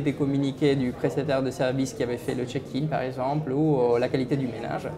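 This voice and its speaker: Noticeable background noise sits behind a man with a fairly high pitch. He keeps a moderate pace and fairly even intonation. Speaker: company founder and CEO. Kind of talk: interview answer.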